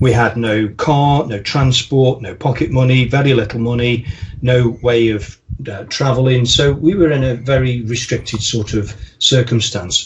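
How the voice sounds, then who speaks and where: A man with an American accent speaks at a moderate pace with fairly even intonation. Noticeable background noise runs underneath. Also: medium pitch for a man. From English Midlands, Staffordshire (the Potteries). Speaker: marketing consultant. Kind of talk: podcast interview. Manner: hesitant, many fillers.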